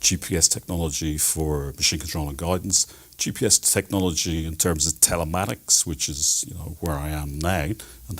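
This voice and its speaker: This man speaks with an Irish accent. His pitch is very deep and low, with fairly even intonation. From Ireland, Dublin. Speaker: telematics specialist. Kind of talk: TV interview.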